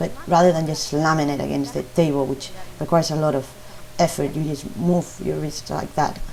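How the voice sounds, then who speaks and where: The speaker has a Spanish accent and moves at a fairly quick pace with ordinary pitch variation. Noticeable background noise runs underneath. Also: woman. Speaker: baking teacher. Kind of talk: tutorial. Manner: halting.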